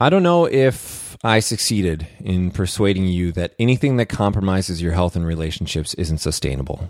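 On a very clean recording with a silent background, a man with a very deep, low pitch and ordinary pitch variation speaks at a moderate pace with hardly any pauses. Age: 30s. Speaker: podcast host. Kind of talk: solo monologue. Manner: halting; animated.

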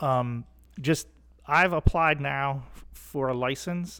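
In a very clean recording with a silent background, a man uses a normal speaking voice at medium pitch with ordinary pitch variation. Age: 40s. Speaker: hunter and conservation advocate. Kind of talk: casual discussion.

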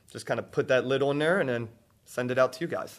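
A man's voice at a medium pitch. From Baltimore, Maryland.

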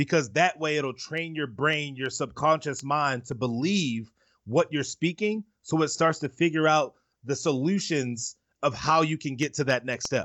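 A man with an American accent and a normal speaking voice, fairly high in pitch with ordinary pitch variation, at a moderate pace. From Baltimore, US. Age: 20s. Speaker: motivational speaker. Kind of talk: interview.

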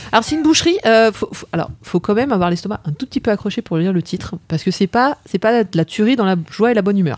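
A woman races along at a very fast pace with hardly any pauses. Her medium-pitched voice has lively intonation, and the sound is dry and close with no echo. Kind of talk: casual chat.

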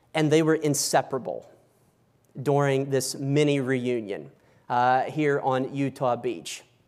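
Here a man with a plain, everyday voice speaks fairly slowly, fairly high in pitch. His intonation stays fairly even, on a very clean recording with a silent background. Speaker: historian lecturer. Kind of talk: lecture. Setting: stage with audience.

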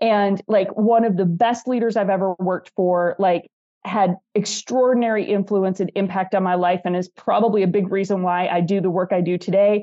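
The speaker uses monotone, flat intonation with an American accent at a moderate pace. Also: woman, medium pitch for a woman. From US Midwest, northern Wisconsin. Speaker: leadership coach and author. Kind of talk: interview conversation.

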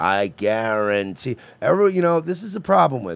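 A man is speaking. His pitch swings very widely. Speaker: podcast host. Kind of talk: casual comedic banter.

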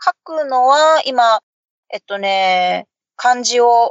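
This woman has a normal speaking voice, fairly high in pitch. Her intonation is lively. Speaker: guest, mother raising a bilingual child. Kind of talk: casual chat.

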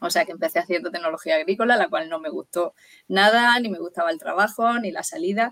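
Speech comes at a very fast pace. Its pitch rises and falls very widely. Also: woman, medium pitch for a woman. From Murcia, Spain. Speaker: nutritionist. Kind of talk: interview.

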